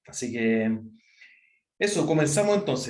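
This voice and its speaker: Audible room echo surrounds a man with a Chilean accent. His pitch is fairly high, with ordinary variation. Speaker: university professor. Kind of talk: online lecture. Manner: fast; many fillers and self-corrections.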